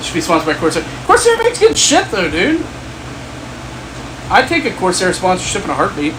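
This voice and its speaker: Noticeable background noise sits behind the voice. The pace is fairly quick, with long, frequent pauses. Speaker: gaming streamer. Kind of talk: casual live stream chat. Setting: home office live stream. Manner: casual, rambling with fillers.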